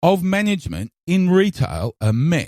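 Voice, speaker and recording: With an Australian accent, a man speaks in very wide pitch swings. The sound is dry and close, with no echo. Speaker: podcast host. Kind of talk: opinion monologue.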